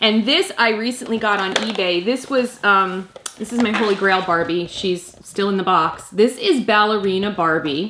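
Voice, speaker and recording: A woman speaks with hardly any pauses over noticeable background noise. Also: medium pitch for a woman, ordinary pitch variation, moderate pace. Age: 40s. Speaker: YouTube mom vlogger. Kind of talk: casual vlog commentary. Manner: hesitant, many fillers.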